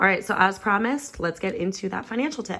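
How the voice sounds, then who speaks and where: Noticeable background noise fills the recording. Through it comes the voice of a woman. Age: 20s. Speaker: restaurant server. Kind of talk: casual talk to camera.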